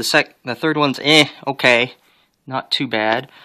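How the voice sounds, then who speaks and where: Against a quiet background, a man speaks at a fairly slow pace in a bright, sharp tone with fairly even intonation. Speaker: hobbyist YouTuber showing his collection. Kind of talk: casual home video tour. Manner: hesitant, many fillers. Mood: relaxed, slightly hesitant. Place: home room. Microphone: phone near.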